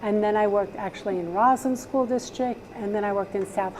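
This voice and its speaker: Medium pitch from a female speaker, with noticeable background noise. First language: Spanish. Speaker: high school Spanish teacher. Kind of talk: interview.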